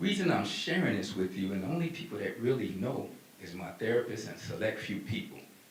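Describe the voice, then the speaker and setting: Amid noticeable background noise and audible room echo, a man talks fairly quickly at a fairly low pitch with very wide pitch swings. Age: 60s. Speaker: business owner. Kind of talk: motivational talk. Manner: animated.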